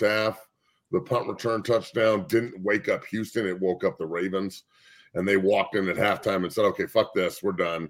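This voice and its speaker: An unremarkable speaking voice from a man, pitched fairly low with ordinary pitch variation. The recording is very clean, with a silent background. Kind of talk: casual sports debate.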